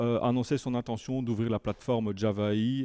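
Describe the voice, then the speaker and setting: In a dry, close recording with no echo, a man with a northern French accent speaks in a dark, mellow tone with fairly even intonation. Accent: relatively French, from Lille border area. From Belgium, near Lille border. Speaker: tech conference speaker, software engineer. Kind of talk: technical talk. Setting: meetup room with audience. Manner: halting, many hesitations.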